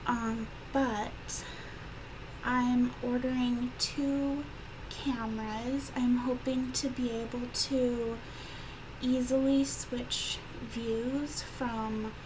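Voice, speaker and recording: Quiet, very slow speech with long, frequent pauses and monotone, flat intonation, amid audible room echo and noticeable background noise. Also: woman, high pitch for a woman. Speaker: tarot reader. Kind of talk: tarot reading. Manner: hesitant, many fillers.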